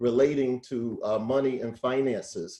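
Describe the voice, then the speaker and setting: A man with an American accent, fairly high in pitch, with a dark, mellow tone at a moderate pace. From US South, North Carolina (Greensboro). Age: 60s. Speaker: financial educator, nonprofit founder. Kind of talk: educational talk on video call. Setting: video call.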